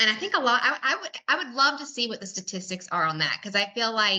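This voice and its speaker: This woman's pace is fairly quick. She has a Southern US accent. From US South. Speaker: podcast host. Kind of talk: casual interview chat.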